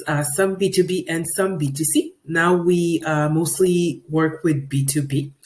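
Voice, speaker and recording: A woman's fairly low, somewhat breathy voice in a French accent, at a moderate pace with ordinary pitch variation and hardly any pauses. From Quebec, Canada. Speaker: 3D visualization specialist. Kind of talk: webinar presentation. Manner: hesitant, frequent fillers.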